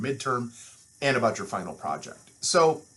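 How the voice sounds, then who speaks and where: A man speaks with a Midwestern accent. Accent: nasal Midwestern. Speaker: university instructor. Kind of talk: lecture. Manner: fast.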